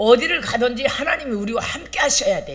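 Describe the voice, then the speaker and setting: Noticeable background noise fills the recording, along with audible room echo. The talking runs fairly quickly. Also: woman. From Chungcheong, South Korea. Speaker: pastor. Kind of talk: sermon.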